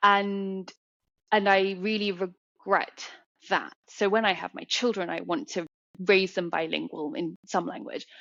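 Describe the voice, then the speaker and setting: A woman with a British accent talks at a fairly slow pace and a medium pitch, using ordinary pitch variation. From England, London. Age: 30s. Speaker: artist. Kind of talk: podcast interview.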